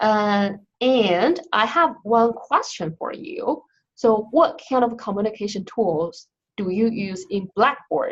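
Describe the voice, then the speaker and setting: Somewhat breathy speech in a Chinese accent, lively in intonation and very slow in pace. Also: woman, fairly high pitch for a woman. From China. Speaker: instructional designer. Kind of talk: online training session.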